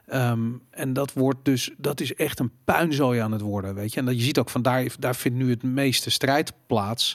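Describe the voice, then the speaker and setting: A man with an ordinary speaking voice talks at a fairly slow pace in a medium pitch, with fairly even intonation and hardly any pauses. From Netherlands, Amsterdam. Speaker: podcast host. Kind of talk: casual chat.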